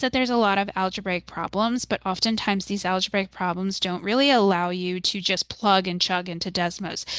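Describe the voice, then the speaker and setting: Using a plain, everyday voice, a woman at medium pitch talks at a fairly quick pace with fairly even intonation. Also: quiet background. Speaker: math tutor. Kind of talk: tutorial.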